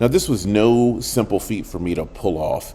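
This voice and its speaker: Loud and dark, mellow in tone, a man's voice with vocal fry swings very widely in pitch at a moderate pace. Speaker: podcast host, storyteller. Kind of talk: personal storytelling.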